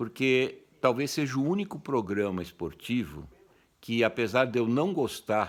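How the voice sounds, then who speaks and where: Using a medium pitch, a man speaks at a fairly slow pace with very wide pitch swings. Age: 70s. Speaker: football commentator youtuber. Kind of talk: opinion monologue. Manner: animated.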